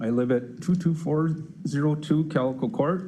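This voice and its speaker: In an Upper Midwest accent, a man with a dark, mellow, somewhat breathy voice at a fairly high pitch speaks very slowly with lively intonation, and audible room echo surrounds him. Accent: Upper Midwest American. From Farmington, Minnesota. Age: 60s. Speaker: retired construction worker, resident. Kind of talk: public comment at city council meeting. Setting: city council meeting.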